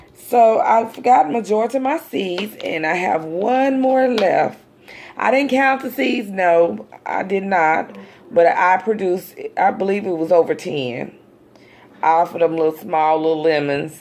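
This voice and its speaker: With an American accent, a woman speaks fairly slowly in a relaxed tone at medium pitch with very wide pitch swings, over noticeable background noise. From US South, Dallas, Texas. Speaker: amateur gardening vlogger. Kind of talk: casual how-to vlog. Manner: relaxed, halting with fillers.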